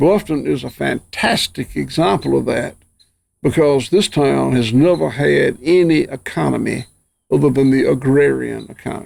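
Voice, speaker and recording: A man with a Southern US accent at a moderate pace. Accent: Southern US (Georgia). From US South, Georgia. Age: 60s. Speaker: rancher. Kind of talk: interview conversation. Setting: outdoors on farm.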